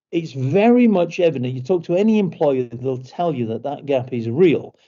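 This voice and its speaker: Speaking with a British accent, a man uses lively intonation and a fairly high pitch at a moderate pace. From Britain. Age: 60s. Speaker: company executive. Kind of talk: online information session talk. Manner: halting, many repetitions and fillers.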